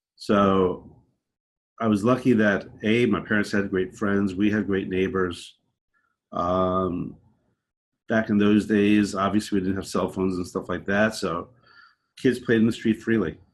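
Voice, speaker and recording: A man with a New York accent speaks fairly slowly, with long, frequent pauses, in a fairly low, flat monotone. The background is quiet. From New York, Long Island. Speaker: podcast guest. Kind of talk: casual interview. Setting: remote call.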